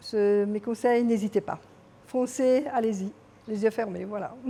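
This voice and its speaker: The pace of this woman's speech is fairly slow. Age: 60s. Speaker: real estate client. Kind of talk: interview testimonial. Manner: hesitant, with fillers.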